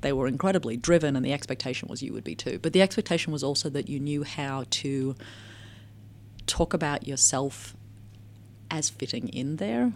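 A woman with an American accent and a very deep, low voice with vocal fry speaks at a fairly quick pace, with ordinary pitch variation and long, frequent pauses, on a very clean recording with a silent background. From Australia, working-class Melbourne. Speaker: anthropologist and technology researcher. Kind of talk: interview.

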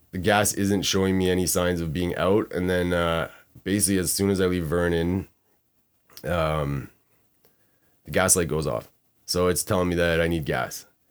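A man mumbles at a moderate pace with a very deep, low pitch. His intonation is fairly even, and the recording is very clean with a silent background. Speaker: guest, host's brother. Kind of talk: casual interview, storytelling. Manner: mumbly, unenunciated.

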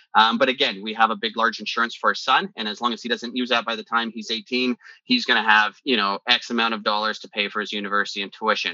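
This man talks at a very fast pace with a western Canadian accent. His medium-pitched voice stays monotone and flat. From western Canada (British Columbia). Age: 40s. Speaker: business executive. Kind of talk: interview.

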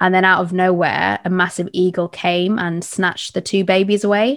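Speaking at a medium pitch, a woman with a London accent uses monotone, flat intonation. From London (East London). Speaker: podcast host. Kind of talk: interview conversation.

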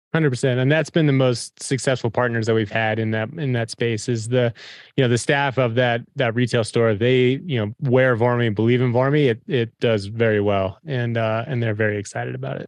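A man with an American accent talks in an ordinary speaking voice at a fairly quick pace, his medium pitch and fairly even intonation running with hardly any pauses over a quiet background. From Colorado Front Range. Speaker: company executive and former mountain guide. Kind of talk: interview.

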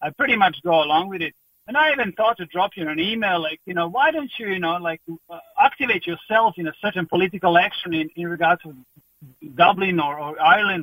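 In a Croatian accent, a man speaks at a fairly quick pace with a high pitch and ordinary pitch variation. His tone is bright and sharp, in a dry, close sound with no echo.

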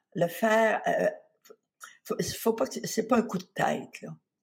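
Vocal fry runs through speech delivered at a very slow pace. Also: woman. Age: 70s. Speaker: spa founder and author. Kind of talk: interview.

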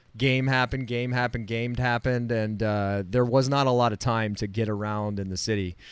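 A man's medium-pitched, normal speaking voice in an American accent, at a fairly quick pace with hardly any pauses and fairly even intonation. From Florida. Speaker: broadcast technician and podcast co-host. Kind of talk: casual chat. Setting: video call.

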